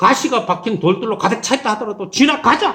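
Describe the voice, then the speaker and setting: A man speaks with a Daegu accent. His voice has vocal fry. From South Korea, Daegu (Gyeongsang). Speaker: pastor. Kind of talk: sermon.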